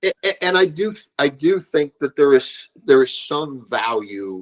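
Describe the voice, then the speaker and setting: A man talks with very wide pitch swings in a dry, close recording with no echo. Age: 60s. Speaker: martial arts instructor. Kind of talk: casual chat. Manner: animated.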